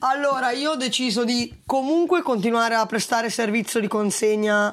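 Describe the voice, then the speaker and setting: A woman with an unremarkable speaking voice talks at a fairly high pitch and moderate pace, with ordinary pitch variation. The recording is very clean, with a silent background. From northern Italy, Valtellina. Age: 20s. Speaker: food delivery rider and cycle tourist. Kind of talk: interview.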